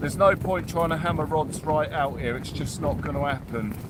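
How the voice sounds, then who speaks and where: A man with a British accent at a fairly high pitch, moderate pace and ordinary pitch variation, amid noticeable background noise and audible room echo. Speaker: angler livestreamer. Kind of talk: live fishing stream chat. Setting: fishing shelter on beach in storm. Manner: loud, shouting over wind.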